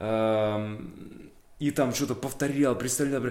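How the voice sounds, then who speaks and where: A man speaks with vocal fry. Audible room echo surrounds his voice. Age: 30s. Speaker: actor. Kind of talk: interview monologue. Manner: casual, with frequent fillers.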